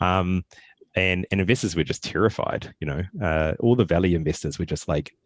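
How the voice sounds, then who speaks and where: This man with a New Zealand accent has a very deep, low pitch and ordinary pitch variation, talking at a fairly quick pace in a dry, close sound with no echo. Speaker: tech startup founder. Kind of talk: casual Q&A talk. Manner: hesitant, many fillers and repetitions.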